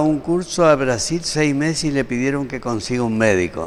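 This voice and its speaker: A man's medium-pitched voice at a fairly slow pace, with lively intonation. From Argentina, Formosa. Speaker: doctor, surgeon. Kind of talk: interview.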